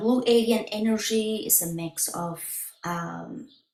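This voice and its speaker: A woman is heard with audible room echo against a quiet background. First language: Spanish. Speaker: spiritual healer. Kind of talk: website walkthrough presentation. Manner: halting. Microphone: webcam.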